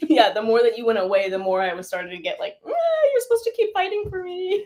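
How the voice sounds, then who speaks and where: A woman with a General American accent at an extremely high pitch, very wide pitch swings and a very fast pace. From California. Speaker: dancer. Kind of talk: casual chat. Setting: livestream.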